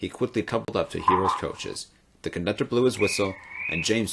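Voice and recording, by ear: Someone reads aloud here in a natural voice.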